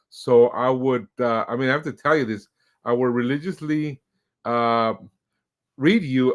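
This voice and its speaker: In a quiet background, a man speaks fairly slowly at a medium pitch with ordinary pitch variation. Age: 50s. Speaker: podcast host. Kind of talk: casual interview. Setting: streamed podcast. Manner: hesitant, many fillers.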